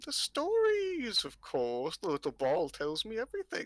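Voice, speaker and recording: Cackling in a put-on character voice, a man speaks at an extremely high pitch. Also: moderate pace. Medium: actual play. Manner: cackling, mischievous.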